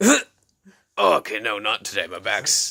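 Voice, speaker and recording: This man uses a put-on character voice that is raspy and fairly slow. The recording is dry and close, with no echo. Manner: gruff, complaining.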